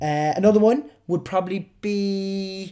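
A man with a Cork accent on a very clean recording, silent background. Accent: Cork Irish. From Cork, Ireland. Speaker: podcast host. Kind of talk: solo podcast monologue, casual chat. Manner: animated, humorous.

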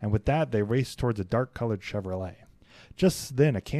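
The clip is a natural reading voice with lively intonation.

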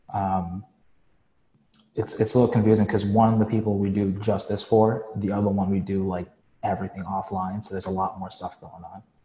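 Somewhat breathy and dark, mellow in tone, a man's fairly low voice moves at a fairly quick pace with monotone, flat intonation and big swings in loudness. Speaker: client in training program. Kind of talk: Q&A coaching call.

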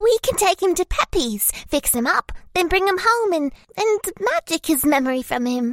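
A put-on character voice at a moderate pace, with very wide pitch swings. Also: female-sounding voice, extremely high pitch for a woman. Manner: cheeky, blunt.

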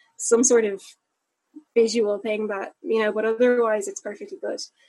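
A woman with a Dublin accent and a fairly high pitch. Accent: Dublin Irish. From Dublin, Ireland. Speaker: upcycling entrepreneur. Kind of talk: interview.

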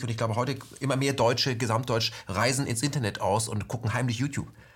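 A man speaks very fast with ordinary pitch variation, his voice somewhat breathy. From West Germany. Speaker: interview host. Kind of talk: interview.

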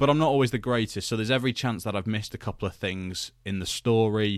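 On a very clean recording with a silent background, a man speaks. He has a British accent and talks at a very fast pace. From UK. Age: 20s. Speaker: wrestling podcast host. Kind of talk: solo podcast commentary. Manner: casual, conversational with fillers.

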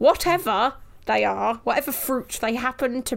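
This woman has a fairly high voice with vocal fry and an English accent. Her intonation is lively and her pace moderate. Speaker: podcast co-host. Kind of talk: casual chat.

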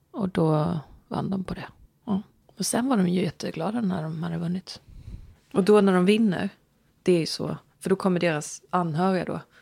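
Soft-spoken with a dark, mellow tone, a woman talks with ordinary pitch variation and long, frequent pauses. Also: medium pitch for a woman, moderate pace. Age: 40s. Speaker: podcast co-host. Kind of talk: casual chat.

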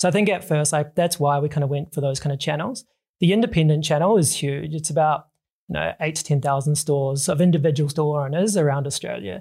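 A man speaks at a very fast pace in a fairly high, somewhat breathy voice with ordinary pitch variation. The recording is very clean, with a silent background. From New Zealand. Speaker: drinks company co-founder. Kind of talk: interview.

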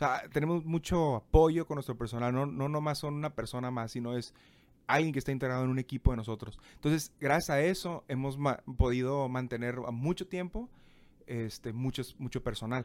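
A man talks at a moderate pace, his pitch medium and its variation ordinary, in a very clean recording with a silent background. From Mexico, Tijuana. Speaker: restaurant owner. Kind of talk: interview.

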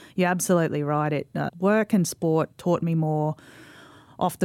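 On a very clean recording with a silent background, a woman with an Australian accent speaks at a very deep, low pitch. She keeps a moderate pace and a monotone, flat intonation. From Australia, Mackay, Queensland. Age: 40s. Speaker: sports administrator and former rugby league player. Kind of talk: casual interview.

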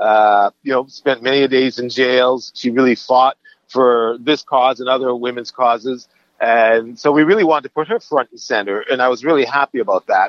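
At a moderate pace and medium pitch, a man talks in a normal speaking voice with ordinary pitch variation. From Canada. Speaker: film director. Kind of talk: interview.

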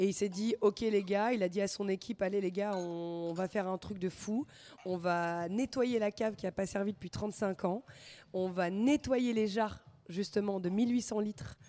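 On a very clean recording with a silent background and a dry, close sound with no echo, a woman speaks at a medium pitch and a fairly slow pace in a dark, mellow tone with fairly even intonation. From northern France (Lille). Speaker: wine shop owner. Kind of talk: casual chat. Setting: live radio recording in a record shop.

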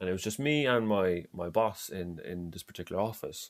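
Lively in intonation, a man with an Irish accent talks at a fairly quick pace on a very clean recording with a silent background. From Ireland. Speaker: football fan. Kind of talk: casual chat. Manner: halting.

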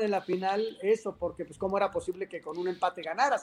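This man has a high pitch and talks at a fairly quick pace. The recording is very clean, with a silent background. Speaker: sports journalist. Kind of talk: interview.

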